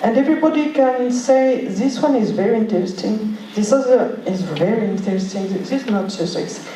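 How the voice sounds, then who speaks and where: A woman with a French accent talks at a moderate pace, her fairly high pitch showing ordinary variation, amid noticeable background noise and audible room echo. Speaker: museum representative. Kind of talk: panel discussion. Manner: halting.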